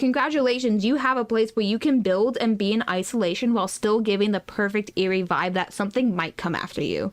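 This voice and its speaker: Her pitch fairly high and her pace fairly quick, a woman speaks with ordinary pitch variation. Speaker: podcast co-host. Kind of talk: casual chat. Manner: animated.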